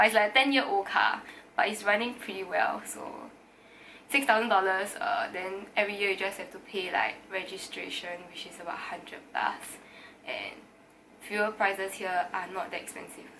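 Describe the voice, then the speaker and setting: A woman speaks at a moderate pace with a medium pitch. Noticeable background noise runs under her voice. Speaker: university student. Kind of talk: casual talk to camera.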